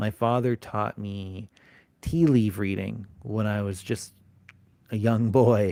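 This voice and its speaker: Very slowly and with long, frequent pauses, a man speaks at a fairly low pitch in a dark, mellow tone with ordinary pitch variation, the sound dry and close with no echo. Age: 40s. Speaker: occult teacher and live streamer. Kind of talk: casual live stream chat. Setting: live stream. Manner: hesitant with many fillers.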